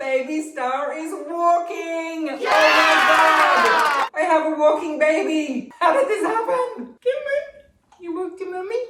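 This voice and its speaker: A woman with an extremely high pitch speaks in a raised, projected voice at a very slow pace, with lively intonation, hardly any pauses, and crowd noise in the background. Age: 40s. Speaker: Feldenkrais practitioner; vlogger, stay-at-home single mother. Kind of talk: casual talk to camera.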